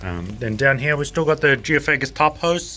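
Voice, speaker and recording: In a New Zealand accent, a man speaks with very wide pitch swings. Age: 20s. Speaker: aquarium shop owner and fishkeeping YouTuber. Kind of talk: casual video tour. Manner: fast; animated.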